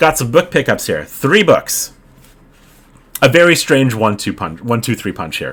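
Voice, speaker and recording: With a Canadian accent and vocal fry, a man speaks at a fairly high pitch, swinging very widely in pitch and leaving long, frequent pauses. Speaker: book video creator. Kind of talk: casual vlog chat. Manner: fast; hesitant, many fillers.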